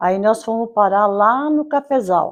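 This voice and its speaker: A very slow pace with ordinary pitch variation. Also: woman. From Brazil, interior of São Paulo state. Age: 80s+. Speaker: local resident telling her life story. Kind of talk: oral history testimony. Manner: halting, with self-corrections.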